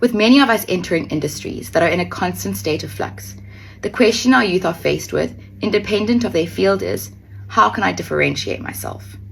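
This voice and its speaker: A woman with a very deep, low voice and vocal fry speaks at a fairly quick pace, her pitch swinging very widely. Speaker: beauty pageant contestant. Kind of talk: prepared speech to camera.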